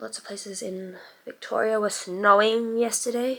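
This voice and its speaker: The intonation is fairly even. The voice has an Australian accent. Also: woman. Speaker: beauty youtuber. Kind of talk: tutorial. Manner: quieter than usual.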